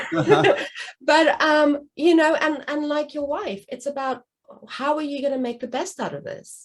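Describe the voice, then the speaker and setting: A woman with a non-native accent speaks fairly slowly in a high voice. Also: ordinary pitch variation. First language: not English. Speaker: guest. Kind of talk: casual chat.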